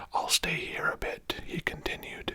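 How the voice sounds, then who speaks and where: The speaker whispers in a gentle tone. Noticeable background noise runs underneath. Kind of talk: whispered audiobook-style reading of a novel, ASMR. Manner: whispered, gentle, relaxing.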